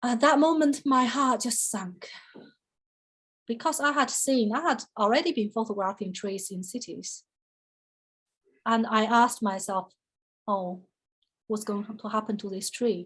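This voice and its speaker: Speaking with a Chinese accent, a woman at a fairly high pitch moves at a fairly slow pace with long, frequent pauses. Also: ordinary pitch variation. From China. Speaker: photographer, artist. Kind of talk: artist talk interview. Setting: online video call. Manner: conversational with many fillers.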